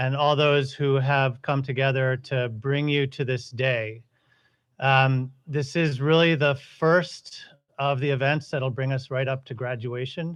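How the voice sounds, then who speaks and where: Against a quiet background, a man at a medium pitch talks at a fairly slow pace in a monotone, flat intonation. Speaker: school head. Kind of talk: ceremony speech. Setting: outdoor ceremony with audience. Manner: loud.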